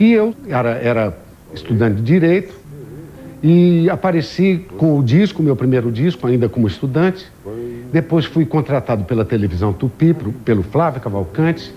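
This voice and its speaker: Very wide pitch swings in a male voice, with noticeable background noise behind it. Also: medium pitch for a man, moderate pace. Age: 60s. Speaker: singer. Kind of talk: interview testimony.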